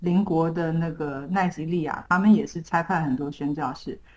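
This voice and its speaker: This woman's voice is fairly low-pitched and somewhat breathy. She talks at a moderate pace. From Taiwan. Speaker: missionary. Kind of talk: interview.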